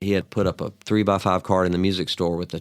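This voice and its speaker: This man's pitch is very deep and low. He speaks at a very fast pace. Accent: Southern US. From US South, Mobile, Alabama. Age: 60s. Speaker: songwriter and guitarist. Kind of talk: interview conversation. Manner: casual, animated storytelling.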